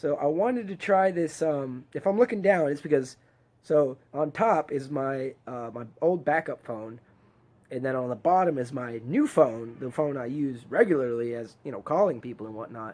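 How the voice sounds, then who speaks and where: The man has an unremarkable speaking voice, pitched fairly high, with lively intonation. He keeps a moderate pace while his loudness swings widely. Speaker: DIY video maker. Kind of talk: casual livestream talk.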